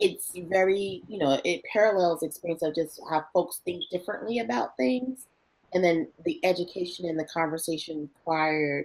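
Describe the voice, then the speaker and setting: This woman has a New Jersey accent and a fairly low pitch. She moves at a moderate pace with ordinary pitch variation. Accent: New Jersey American. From northern New Jersey, East Orange. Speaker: marketing executive. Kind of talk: career interview. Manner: lively, animated.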